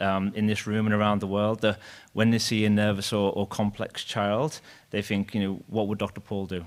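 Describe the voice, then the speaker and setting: A man talks at a fairly quick pace in a fairly low voice. The recording is very clean, with a silent background. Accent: Liverpool. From Liverpool, England. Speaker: surgeon, former fellow of the deceased. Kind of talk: eulogy. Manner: fast.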